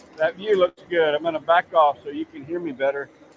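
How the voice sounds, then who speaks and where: Ordinary pitch variation and a moderate pace in a man's speech. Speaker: livestream host. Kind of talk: live cooking stream. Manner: loud.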